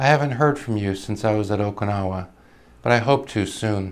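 A man with an unremarkable speaking voice talks at a moderate pace, his pitch fairly low and varying in an ordinary way. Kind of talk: reading aloud of a soldier's wartime letters. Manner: calm, earnest, steady reading; sincere, measured, solemn.

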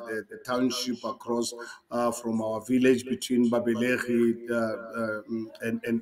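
A man speaks with monotone, flat intonation. Noticeable background noise sits behind him. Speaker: interview guest. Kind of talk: interview answer. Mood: reflective, recalling childhood. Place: home room.

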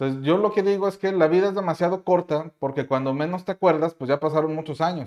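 A man's very fast, hardly paused delivery at a fairly high pitch, with ordinary pitch variation over a quiet background. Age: 30s. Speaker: YouTuber and CAD instructor; course creator, youtuber. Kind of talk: casual vlog monologue. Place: home room.

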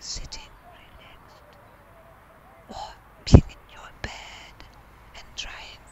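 Whispering at a very slow pace, broken by long, frequent pauses, over noticeable background noise. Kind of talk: ASMR whisper recorded outdoors. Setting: outdoors. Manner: whispered.

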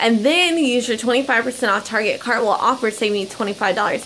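A woman speaks against light background noise. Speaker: couponing vlogger. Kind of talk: casual vlog chat. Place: home room. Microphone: phone near.

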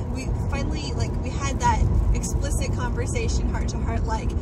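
A woman speaks with a dry sound and no echo. Loud background noise runs behind her. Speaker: new mother vlogger. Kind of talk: casual vlog chat. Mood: relaxed, cheerful. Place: car. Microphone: phone near.

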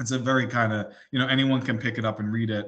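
A man talks at a very fast pace with a medium pitch. His tone is bright and sharp over a quiet background. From New Jersey, US. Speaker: indie author; guest. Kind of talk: interview; interview answer. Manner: halting, many fillers and repeats. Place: home room. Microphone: video call.

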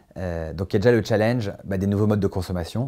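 Against a quiet background, a man with a fairly low voice talks at a very fast pace. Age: 40s. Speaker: company CEO. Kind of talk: corporate recruitment interview. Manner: hesitant, many fillers and repetitions. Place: office. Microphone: lapel.

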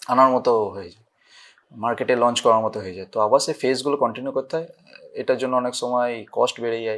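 Against a silent background in a very clean recording, a man uses an ordinary speaking voice at medium pitch with fairly even intonation and big swings in loudness. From West Bengal, India (Hooghly). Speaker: pharmacy professor. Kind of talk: interview.

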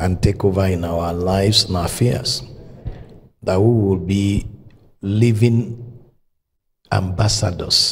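A man speaks with a very deep, low pitch. Light background noise sits behind him. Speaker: preacher. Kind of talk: opening prayer. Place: church. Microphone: handheld.

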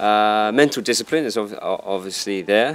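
The speaker has a southern English accent and talks at a fairly slow pace. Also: man. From southern England, Dorset; southern England. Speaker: karate instructor. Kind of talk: interview. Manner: hesitant, many fillers.

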